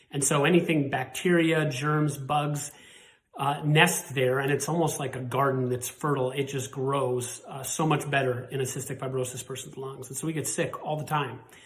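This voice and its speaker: Amid noticeable background noise and audible room echo, a man with an American accent talks at a moderate pace in a fairly high pitch, with monotone, flat intonation. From Montana, US. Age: 40s. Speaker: cystic fibrosis patient. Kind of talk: personal testimony and appeal.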